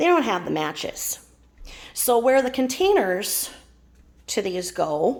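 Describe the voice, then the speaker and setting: Speaking at a very slow pace with long, frequent pauses, this voice swings very widely in pitch. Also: woman, fairly high pitch for a woman. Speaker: Tupperware consultant. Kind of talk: casual talk to camera.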